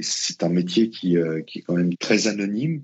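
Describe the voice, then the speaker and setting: A man with a very deep, low voice keeps to a moderate pace. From Paris region, France (Colombes). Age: 50s. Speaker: football opposition scout. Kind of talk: interview conversation. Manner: hesitant with repetitions.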